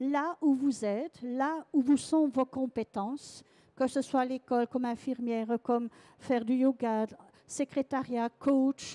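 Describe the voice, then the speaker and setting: In a very clean recording with a silent background and a dry, close sound with no echo, a woman with a Belgian accent speaks at a high pitch in a dark, mellow tone with fairly even intonation. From Belgium. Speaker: sound massage trainer. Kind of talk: conference talk. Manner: halting.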